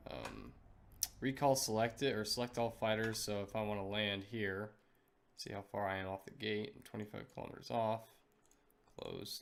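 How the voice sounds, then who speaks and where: Big swings in loudness from a man with a fairly low pitch and fairly even intonation. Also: moderate pace. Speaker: gamer. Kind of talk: game tutorial walkthrough.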